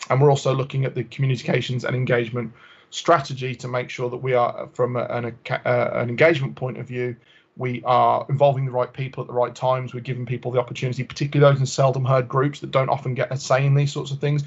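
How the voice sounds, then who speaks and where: A man speaks at a very fast pace in a somewhat breathy voice. His pitch is medium, and his intonation is monotone and flat. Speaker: health engagement officer. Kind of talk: committee presentation.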